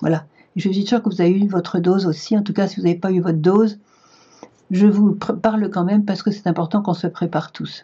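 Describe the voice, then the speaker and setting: A woman of medium pitch talks at a very fast pace with fairly even intonation. Her voice is somewhat breathy. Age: 70s. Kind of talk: spiritual talk to camera. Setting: video recorded for online viewers.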